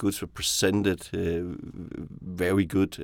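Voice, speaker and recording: A man with a Danish accent speaks at a very deep, low pitch and a moderate pace. His intonation is fairly even, and the recording is very clean with a silent background. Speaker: venture investor. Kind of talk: casual chat. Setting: studio. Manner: halting, many repetitions and fillers.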